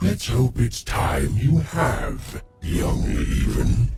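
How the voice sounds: A man does a cartoonish character voice, growling at a very deep, low pitch and a very slow pace.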